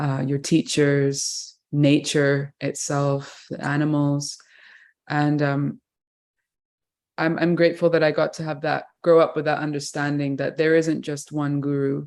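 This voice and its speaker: This woman has an English accent and a very deep, low pitch, delivered in a flat monotone at a fairly slow pace. The recording is very clean with a silent background. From England. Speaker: kirtan musician. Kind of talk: interview.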